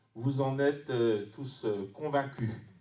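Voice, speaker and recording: A man talks very slowly with a fairly high pitch and fairly even intonation, with noticeable background noise behind him. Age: 60s. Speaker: history teacher and municipal candidate. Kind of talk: campaign speech. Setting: public campaign meeting. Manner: hesitant, many fillers.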